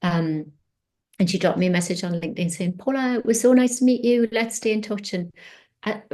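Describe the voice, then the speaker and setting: Her tone is dark and mellow. The woman talks at a very fast pace with ordinary pitch variation. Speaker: mentor and career coach. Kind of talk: interview presentation with slides.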